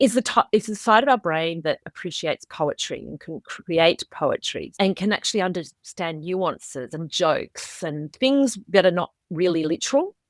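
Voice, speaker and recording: Delivered at a moderate pace with lively intonation and big swings in loudness, this Australian-accented voice is recorded dry and close with no echo, very clean against a silent background. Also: woman, medium pitch for a woman, hardly any pauses. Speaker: author. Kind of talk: interview.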